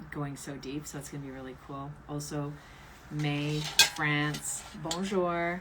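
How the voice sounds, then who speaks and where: A woman speaks with a very deep, low pitch. Room echo is audible. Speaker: tarot reader and author. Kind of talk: livestream ritual.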